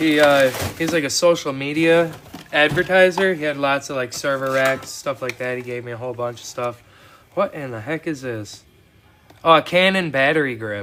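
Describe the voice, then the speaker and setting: With an American accent, a man speaks at a moderate pace and a fairly high pitch, with ordinary pitch variation and big swings in loudness, over noticeable background noise. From Wisconsin. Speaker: scrap metal hobbyist streamer. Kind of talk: casual livestream chat. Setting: outdoors in a cold shop. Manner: relaxed, with fillers.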